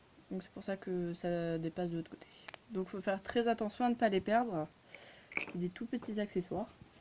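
This woman talks at a fairly quick pace, broken by long, frequent pauses. Her pitch variation is ordinary, with light background noise. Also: medium pitch for a woman, big swings in loudness. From France. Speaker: YouTuber reviewing collectible dolls; doll collector reviewer. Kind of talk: casual product review. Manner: hesitant, many fillers. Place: home room. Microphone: phone near.

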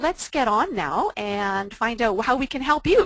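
A woman at a moderate pace with very wide pitch swings, a dry sound with no echo and a quiet background. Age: 50s. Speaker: online entrepreneur and fitness instructor. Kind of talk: webinar presentation. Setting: online webinar. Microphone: video call.

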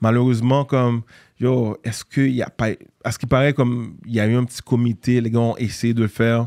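A man speaks at a fairly quick pace in a dark, mellow tone with monotone, flat intonation. The sound is dry with no echo over a quiet background. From Haiti (Port-au-Prince), raised later in Montreal; Haiti. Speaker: entrepreneur and former basketball player; interview guest. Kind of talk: casual interview. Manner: hesitant, many fillers. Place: studio. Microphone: studio mic.

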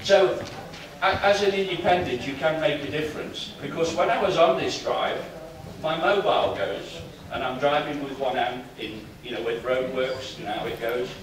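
A man speaks at a moderate pace with audible room echo and noticeable background noise. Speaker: conference speaker. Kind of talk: speech with anecdotes. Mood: humorous, laughing often. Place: hall.

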